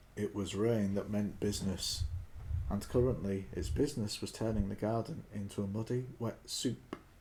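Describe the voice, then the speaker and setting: A man speaks with a British accent at a medium pitch. His voice is somewhat breathy, with a dark, mellow tone. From Britain. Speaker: audiobook reader. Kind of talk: audiobook narration. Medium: read story.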